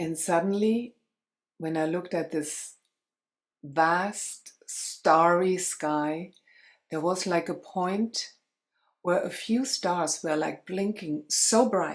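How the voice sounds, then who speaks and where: Speaking very slowly with long, frequent pauses, a woman with a German accent uses a fairly low pitch and ordinary pitch variation on a very clean recording with a silent background. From Germany. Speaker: spiritual coach and light language practitioner. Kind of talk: interview storytelling.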